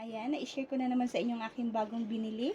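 The voice belongs to a woman with a fairly high pitch. Her tone is dark and mellow. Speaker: YouTube vlogger. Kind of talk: unboxing vlog. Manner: animated.

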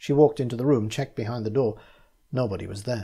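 The reading voice is unforced. Pitch varies in an ordinary way.

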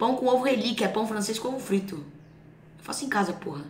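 There is noticeable background noise behind this woman. She speaks with ordinary pitch variation. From São Paulo, Brazil. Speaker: streamer reacting to clips. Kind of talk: casual reaction chat with slang.

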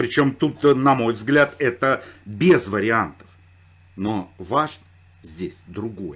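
Lively in intonation, a man speaks at a very slow pace with long, frequent pauses. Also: medium pitch for a man. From Saratov, Russia. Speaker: political commentator. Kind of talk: commentary monologue.

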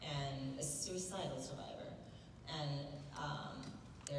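Speech comes at a fairly slow pace. There is audible room echo and noticeable background noise. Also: woman. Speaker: panel guest actor. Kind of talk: interview answer. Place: hall.

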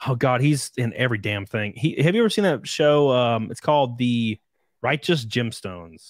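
At a moderate pace, a man speaks with ordinary pitch variation, recorded dry with no echo against a quiet background. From Alabama. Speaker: podcast host. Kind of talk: casual interview chat. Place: home room. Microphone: studio mic.

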